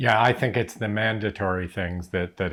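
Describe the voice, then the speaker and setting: In a very clean recording with a silent background, a man with a Canadian accent speaks at a moderate pace in a very deep, low pitch. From Canada. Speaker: retirement vlogger. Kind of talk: casual chat.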